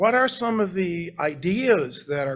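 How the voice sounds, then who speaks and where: A man's high voice at a fairly slow pace, with very wide pitch swings. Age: 60s. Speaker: art historian, professor. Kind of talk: lecture. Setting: library meeting room with audience and zoom.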